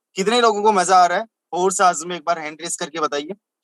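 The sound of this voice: A man talks fast at a high pitch, with a fairly bright tone and ordinary pitch variation. The sound is dry and close, with no echo.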